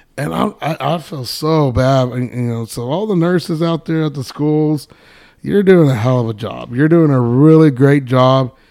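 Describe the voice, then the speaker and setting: A dark, mellow tone in a West Texas accent at a moderate pace. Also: man, fairly high pitch for a man, ordinary pitch variation. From Texas Panhandle (Amarillo). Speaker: podcast co-host, teacher and coach. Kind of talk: casual chat.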